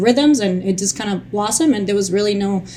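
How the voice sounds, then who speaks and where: A woman with a Spanish accent, medium in pitch and fairly quick in pace. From Colombia. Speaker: childhood cancer survivor and advocate. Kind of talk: interview testimony. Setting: recorded near the capitol in Washington DC. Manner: halting, many fillers; animated.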